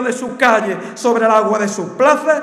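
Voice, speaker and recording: A man's extremely high-pitched voice with audible room echo and a quiet background. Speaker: festival proclaimer. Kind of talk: Holy Week proclamation, formal verse oration. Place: stage. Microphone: podium.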